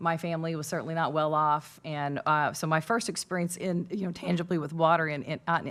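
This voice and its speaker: Speaking at a fairly quick pace with a Southern Illinois accent, a woman keeps a fairly low pitch and fairly even intonation on a very clean recording with a silent background. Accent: Southern Illinois rural. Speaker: panelist. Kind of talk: panel discussion.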